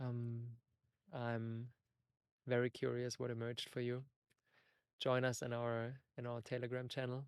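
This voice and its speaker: A man with a German accent talks at a moderate pace in a medium pitch. His intonation is flat and monotone, broken by long, frequent pauses. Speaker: podcast host. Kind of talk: solo podcast monologue. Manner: halting, searching for words.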